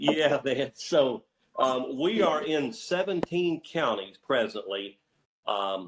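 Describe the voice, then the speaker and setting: A man with a Southern US accent speaks at a very slow pace. His pitch swings very widely. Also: fairly high pitch for a man. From Northeast Tennessee. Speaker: healthcare provider network executive. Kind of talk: business presentation on conference call. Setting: conference call. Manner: rambling, many fillers.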